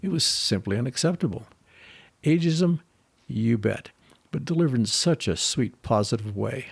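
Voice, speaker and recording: This man sounds somewhat breathy, with lively intonation at a moderate pace. The recording is very clean, with a silent background. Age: old. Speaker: podcast co-host. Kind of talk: scripted storytelling.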